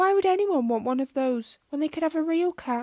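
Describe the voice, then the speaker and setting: Doing a squeaky put-on character voice, a woman speaks high and fairly quickly. The pitch is high for a woman. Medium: read story.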